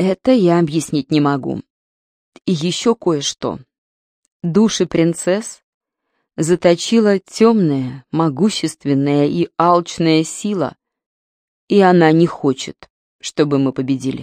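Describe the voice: A woman puts on a character voice, pitched low with a slightly mellow tone and lively intonation, speaking slowly in a dry, close recording with no echo and a very clean, silent background.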